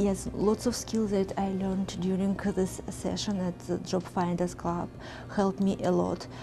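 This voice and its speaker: A woman's flat, monotone delivery in a Russian accent, with noticeable background noise. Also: medium pitch for a woman, moderate pace. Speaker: program graduate. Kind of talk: documentary interview.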